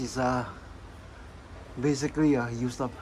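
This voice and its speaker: With noticeable background noise in the mix, a man holds a medium pitch and fairly even intonation. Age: 60s. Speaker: scale model builder. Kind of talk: tutorial. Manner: halting, many repeats and fillers.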